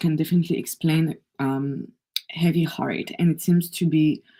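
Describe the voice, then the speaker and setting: The speaker sounds somewhat breathy, with a French accent. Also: woman. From France. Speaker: energy healer. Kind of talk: live oracle card reading. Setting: livestream.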